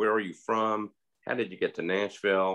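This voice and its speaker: In a bright, sharp tone, a man talks at a moderate pace with a quiet background. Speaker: host of community talk. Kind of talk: interview host remarks. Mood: earnest, cautionary. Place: home room. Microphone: video call.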